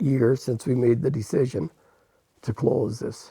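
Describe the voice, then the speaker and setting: Somewhat breathy and in a dark, mellow tone, the man talks at a moderate pace. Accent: Ottawa Valley. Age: 70s. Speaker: newspaper publisher. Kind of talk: interview. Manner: halting, with repetitions and fillers.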